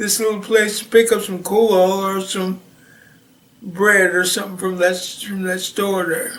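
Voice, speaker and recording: At a fairly slow pace, the speaker holds a flat monotone amid noticeable background noise and audible room echo. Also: man. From Missouri, US Midwest. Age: 70s. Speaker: retired Navy veteran. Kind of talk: oral history interview. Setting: at home. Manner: halting, many fillers and restarts.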